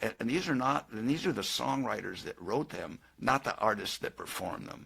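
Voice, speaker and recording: With a Californian accent and vocal fry, the speaker uses lively intonation at a moderate pace on a very clean recording with a silent background. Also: man. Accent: Californian American. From Southern California. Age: 70s. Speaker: singer-songwriter. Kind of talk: interview. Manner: halting, repeats words.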